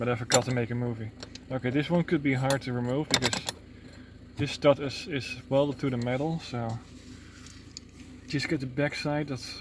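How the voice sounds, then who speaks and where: A man mumbles at a moderate pace, his medium pitch held in fairly even intonation. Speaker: car repair video maker. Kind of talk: tutorial. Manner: mumbling; halting.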